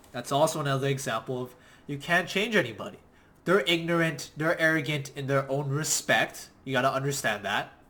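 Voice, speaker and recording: Loud, with a bright, sharp tone, a man speaks at a fairly high pitch and a fairly quick pace, his pitch varying in an ordinary way. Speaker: online business coach. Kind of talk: motivational talk. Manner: passionate.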